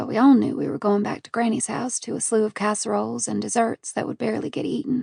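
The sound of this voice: An unforced reading voice carries the recording.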